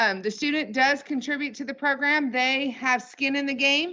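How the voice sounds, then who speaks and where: A woman's bright, sharp tone comes through over a quiet background. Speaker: nonprofit program representative. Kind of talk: presentation. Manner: fast.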